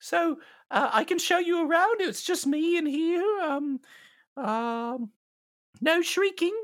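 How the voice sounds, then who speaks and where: A man's put-on character voice, extremely high in pitch and very slow, on a very clean recording with a silent background. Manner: flustered, evasive, overly polite.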